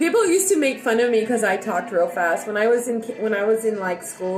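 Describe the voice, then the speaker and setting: A woman at a very fast pace with lively intonation, audible room echo and music in the background. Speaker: livestreamer. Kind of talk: casual livestream chat. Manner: loud.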